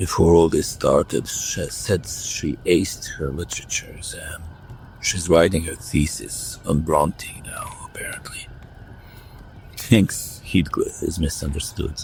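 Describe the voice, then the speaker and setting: Man in a put-on character voice at a fairly slow pace, over light background noise. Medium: audio drama. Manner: blunt, sardonic.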